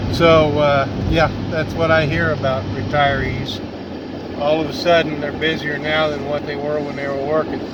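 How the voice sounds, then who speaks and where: In a room with audible echo and noticeable background noise, a man speaks at a moderate pace with a fairly high pitch and monotone, flat intonation. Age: 60s. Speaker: outdoors vlogger and hunter. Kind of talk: casual vlog talk to camera. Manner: hesitant, filler-heavy.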